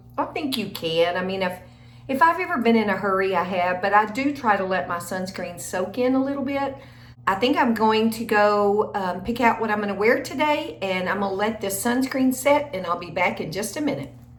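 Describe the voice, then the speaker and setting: A woman of medium pitch with an American accent, lively intonation and a fairly quick pace, amid noticeable background noise and audible room echo. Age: 60s. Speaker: beauty vlogger. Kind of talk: get-ready-with-me makeup tutorial. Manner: casual, chatty.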